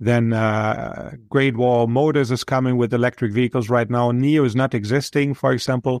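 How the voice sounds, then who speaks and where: The speaker, with a German accent, keeps very even loudness and fairly even intonation, with hardly any pauses. The very clean recording has a silent background and a dry, close sound with no echo. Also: man, medium pitch for a man, moderate pace. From Germany. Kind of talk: interview.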